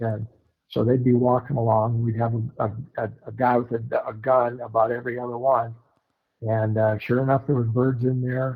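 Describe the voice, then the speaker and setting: Somewhat breathy and dark, mellow in tone, this voice with an American accent moves at a moderate pace in a monotone, flat intonation. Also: man. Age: 70s. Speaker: bird hunter. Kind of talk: casual chat. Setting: podcast.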